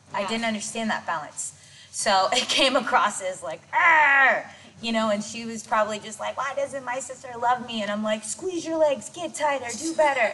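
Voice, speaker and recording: With lively intonation and a high pitch, a woman talks at a moderate pace while noticeable background noise plays behind her. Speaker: dance choreographer and director. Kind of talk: casual interview chat. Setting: gym. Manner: stutters at times.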